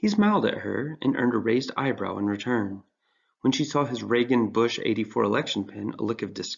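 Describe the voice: The voice reads aloud plainly. The background is quiet.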